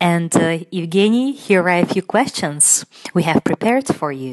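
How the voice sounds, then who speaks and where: Someone with a Russian accent talks at a moderate pace with lively intonation, the sound dry and close with no echo. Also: woman. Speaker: radio presenter and linguist. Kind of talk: radio interview hosting. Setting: studio.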